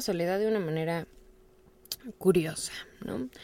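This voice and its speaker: Her tone dark and mellow, a woman talks at a fairly quick pace. The recording is very clean, with a silent background. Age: 20s. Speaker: podcast host. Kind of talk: personal monologue.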